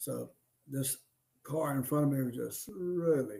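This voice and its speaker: A man with an Alabama accent. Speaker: podcast co-host. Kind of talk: casual chat; reading aloud. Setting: live stream.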